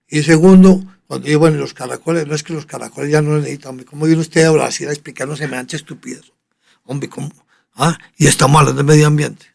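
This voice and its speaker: A man speaks at a very fast pace with a fairly high pitch. His intonation is fairly even, while his loudness swings widely. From Colombia, Medellín (Antioquia). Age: 80s+. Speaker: veterinary surgeon. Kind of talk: interview conversation.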